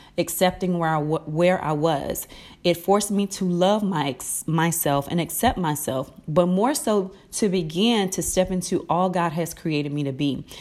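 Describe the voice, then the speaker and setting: Here a woman has an unremarkable speaking voice, fairly low in pitch with ordinary pitch variation, at a moderate pace. The recording is very clean, with a silent background. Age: 30s. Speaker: inspirational podcast host. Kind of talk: inspirational talk. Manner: conversational.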